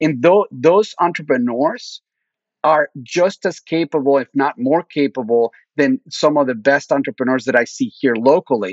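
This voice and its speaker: A man with a Spanish accent, fairly high in pitch, with lively intonation and a moderate pace. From Mexico (Mexico City). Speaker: venture capitalist. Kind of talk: interview.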